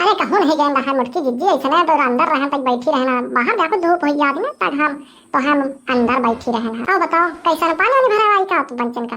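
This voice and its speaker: A woman speaks in a cartoonish character voice with a high pitch and lively intonation. Her pace is fairly quick. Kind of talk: rustic cartoon comedy. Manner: grumbling, bossy.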